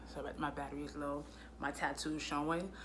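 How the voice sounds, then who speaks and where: A woman with an American accent speaks in a very deep, low pitch with a bright, sharp tone, and audible room echo surrounds her. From US Northeast (Brooklyn, New York). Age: 30s. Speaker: vlogger. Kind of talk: casual vlog monologue.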